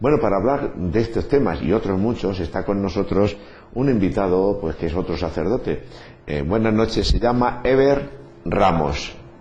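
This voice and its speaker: The speech has lively intonation and a moderate pace, with audible room echo. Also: man, fairly low pitch for a man. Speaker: priest and radio host. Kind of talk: radio talk show interview.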